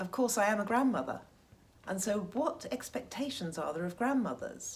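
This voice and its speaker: A woman with a somewhat breathy, fairly high voice moves through very wide pitch swings. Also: moderate pace. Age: 60s. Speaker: Instagram fashion influencer. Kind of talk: interview answer.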